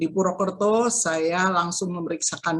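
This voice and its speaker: With a fairly low pitch, a woman talks at a fairly slow pace. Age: 60s. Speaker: cancer survivor giving testimony. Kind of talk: testimony. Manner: hesitant, many fillers.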